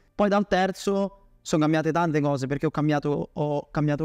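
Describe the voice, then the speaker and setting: Very fast speech from a man at a fairly high pitch, with faint music in the background. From Bolzano, northern Italy; northern Italy. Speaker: email marketing agency owner; podcast guest. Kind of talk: interview. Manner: halting. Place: home room.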